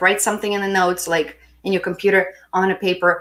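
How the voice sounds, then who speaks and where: With a medium pitch, a woman speaks at a fairly quick pace. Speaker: spiritual healing coach. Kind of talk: live-stream self-help talk. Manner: warm, encouraging.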